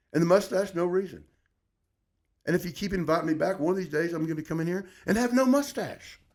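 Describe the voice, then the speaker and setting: A man with an American accent, high in pitch, at a very fast pace with long, frequent pauses. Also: ordinary pitch variation. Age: 60s. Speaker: former sports radio host. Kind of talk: casual chat.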